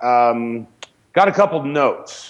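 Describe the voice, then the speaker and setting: Here is a man with an ordinary speaking voice. His intonation is lively. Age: 40s. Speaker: film director and actor. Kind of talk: casual chat.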